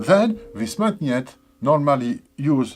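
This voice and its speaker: A speaker with a non-native accent talks at a very slow pace, the pitch swinging very widely. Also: man. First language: not English. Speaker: musician demonstrating instrument tuning. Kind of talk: tutorial. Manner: halting.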